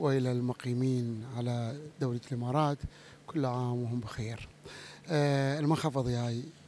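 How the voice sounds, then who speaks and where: At a fairly slow pace, a man talks with fairly even intonation over light background noise, the sound dry with no echo. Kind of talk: interview answer. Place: hall. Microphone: handheld.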